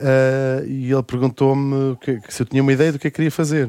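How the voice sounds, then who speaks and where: In a dry, close recording with no echo, a man with medium pitch and an unremarkable speaking voice talks at a fairly quick pace. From Brazil (Rio de Janeiro). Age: 40s. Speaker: radio host and author. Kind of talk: casual chat.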